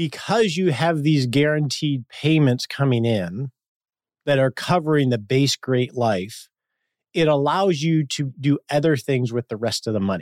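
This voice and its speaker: A man with a normal speaking voice, fairly high in pitch, lively in intonation and fairly slow in pace, in a very clean recording with a silent background and a dry, close sound with no echo. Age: 50s. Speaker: financial planner and podcast host. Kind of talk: interview.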